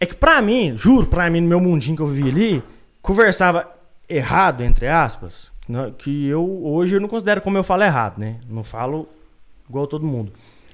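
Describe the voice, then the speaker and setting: With a mineiro accent, a man talks at a fairly quick pace in a high pitch with very wide pitch swings. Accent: mineiro countryside accent, kept. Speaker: podcast guest. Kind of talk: casual chat. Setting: live-streamed video podcast studio.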